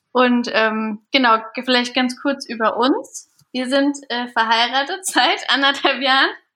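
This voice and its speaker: A woman with a high voice and a bright, sharp tone projects it loudly at a very slow pace, her pitch varying in an ordinary way. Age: 30s. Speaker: business consultant and trainer. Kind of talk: casual chat.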